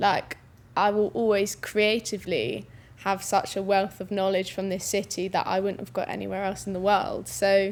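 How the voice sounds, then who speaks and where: A woman speaks with a London accent at a moderate pace. Her pitch sits in the middle range, and her intonation stays fairly even. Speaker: musician in electronic-pop band. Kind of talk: panel discussion.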